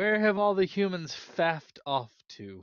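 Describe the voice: A man puts on a character voice pitched high. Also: moderate pace, ordinary pitch variation.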